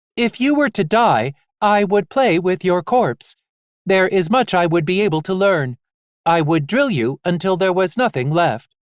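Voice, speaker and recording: A put-on character voice at a middle pitch and moderate pace, recorded very cleanly over a silent background. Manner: cold, menacing.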